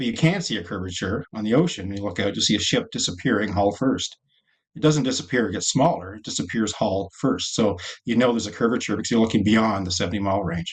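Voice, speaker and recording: Talking at a very fast pace, a man with an American accent has a fairly low, somewhat breathy voice with ordinary pitch variation. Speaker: scientist and technologist. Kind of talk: podcast interview. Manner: hesitant, many fillers.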